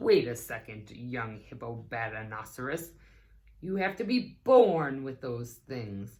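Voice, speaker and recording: A woman uses a put-on character voice that is very deep and low. She speaks at a fairly slow pace. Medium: read story. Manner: dignified.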